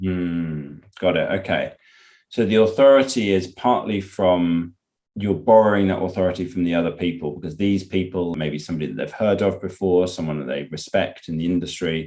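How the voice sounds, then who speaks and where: A man with a British accent talks at a fairly quick pace in a very deep, low voice with a dark, mellow tone and ordinary pitch variation. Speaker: podcast host. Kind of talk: podcast interview.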